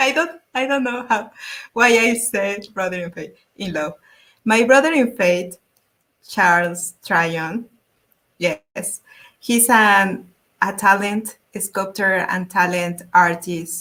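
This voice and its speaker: In a Spanish accent, a woman with a bright, sharp tone and medium pitch speaks at a very slow pace, using lively intonation and long, frequent pauses. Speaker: YouTube art channel host. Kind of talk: interview. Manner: halting.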